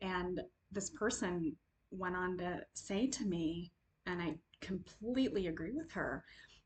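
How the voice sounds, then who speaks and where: Somewhat breathy, a woman speaks at medium pitch with lively intonation. Her pace is fairly slow. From Ethiopian family background. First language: Amharic. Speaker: video essayist and caregiver advocate. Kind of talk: personal reflective monologue.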